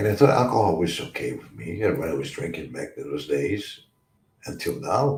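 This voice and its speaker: Fairly low in pitch and somewhat breathy, a man speaks at a moderate pace with very wide pitch swings. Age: 60s. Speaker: recovery talk show host. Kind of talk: livestream talk on addiction recovery. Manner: halting, repetitive.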